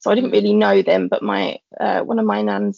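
A moderate pace with a London accent. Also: woman. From East London. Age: 30s. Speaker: teacher. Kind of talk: personal testimony in casual chat.

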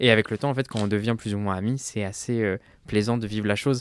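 This man has an unremarkable speaking voice, fairly low in pitch, with fairly even intonation. The recording is very clean with a silent background, and the sound is dry and close, with no echo. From France, Ardèche. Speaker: drag queen. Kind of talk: casual chat.

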